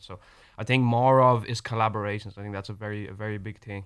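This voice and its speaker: A man's fairly low voice with an Irish accent, very fast and monotone, with flat intonation. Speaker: rapper. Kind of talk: radio interview. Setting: studio.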